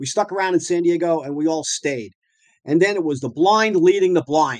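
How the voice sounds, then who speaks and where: A man with a New York accent, high-pitched and lively in intonation, at a moderate pace. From Long Island, New York. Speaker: dentist and practice owner. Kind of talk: interview storytelling. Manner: animated.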